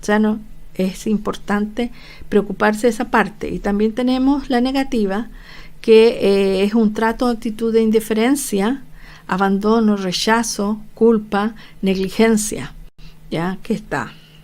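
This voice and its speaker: Amid audible room echo, a woman talks at a fairly slow pace in a fairly high pitch with fairly even intonation. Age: 60s. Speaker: nurse lecturer. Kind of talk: online lecture. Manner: hesitant, many fillers.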